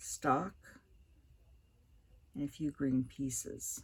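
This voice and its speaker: A woman speaks in a somewhat breathy voice. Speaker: craft demonstrator. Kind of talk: tutorial. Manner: casual.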